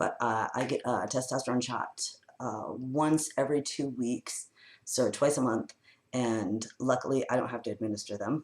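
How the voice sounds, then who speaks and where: The voice belongs to a man at a medium pitch. He talks at a moderate pace. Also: fairly even intonation. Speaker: author and vlogger. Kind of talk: casual vlog. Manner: casual, hesitant with fillers.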